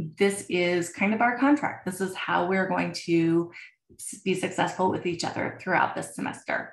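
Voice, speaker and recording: A woman uses a normal speaking voice, ordinary pitch variation, and a moderate pace. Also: medium pitch for a woman. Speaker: college instructor. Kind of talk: recorded lecture. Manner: casual, filler words.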